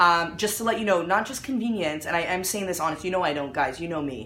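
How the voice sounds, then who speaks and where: A woman speaks very fast in an animated tone with lively intonation. Audible room echo and noticeable background noise surround her voice. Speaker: mom blogger hosting a live video. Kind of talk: live stream product promotion. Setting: at home, live video.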